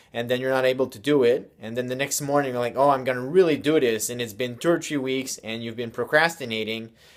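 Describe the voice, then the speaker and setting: Here a man of medium pitch uses an ordinary speaking voice with fairly even intonation. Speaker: self-help video host. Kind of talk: motivational talk to camera.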